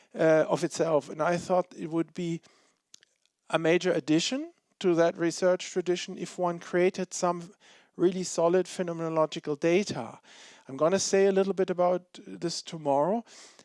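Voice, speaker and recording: The speaker talks at a moderate pace, and the sound is dry and close with no echo. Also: man, high pitch for a man, fairly even intonation. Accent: German. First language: German. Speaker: philosophy professor. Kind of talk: Q&A after lecture.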